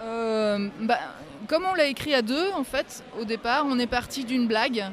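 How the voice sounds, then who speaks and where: Ordinary variation marks the pitch. The delivery holds a moderate pace. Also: woman. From Metz, France. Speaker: novelist. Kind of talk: interview.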